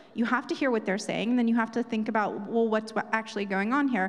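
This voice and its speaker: A woman speaks with a fairly high pitch. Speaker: historian and podcast host. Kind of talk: panel conversation. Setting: stage with audience.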